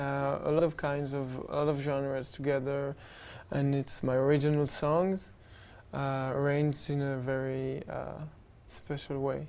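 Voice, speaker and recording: The speaker talks at a fairly slow pace with a French accent. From Israel. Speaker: musician. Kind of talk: interview. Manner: halting.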